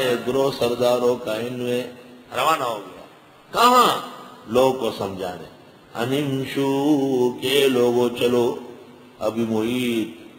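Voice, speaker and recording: A man with fairly even intonation and big swings in loudness, over noticeable background noise. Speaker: Islamic scholar giving a Quran lecture. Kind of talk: religious lecture explaining Quran translation and commentary.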